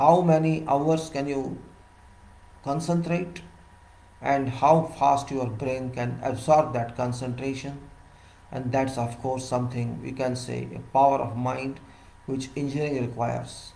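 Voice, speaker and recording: Long, frequent pauses break up a somewhat breathy voice with fairly even intonation, and audible room echo surrounds it. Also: man, medium pitch for a man, fairly slow pace. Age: 60s. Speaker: civil engineer giving professional talks. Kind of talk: solo lecture.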